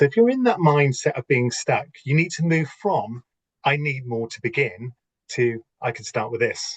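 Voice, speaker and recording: With a somewhat breathy voice and lively intonation, a man speaks at a moderate pace in a dry, close recording with no echo. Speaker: business coach and entrepreneur. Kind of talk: lecture.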